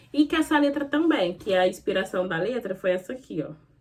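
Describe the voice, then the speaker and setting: The voice has an animated tone and very wide pitch swings. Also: woman. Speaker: lifestyle vlogger. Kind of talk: casual chat. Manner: fast.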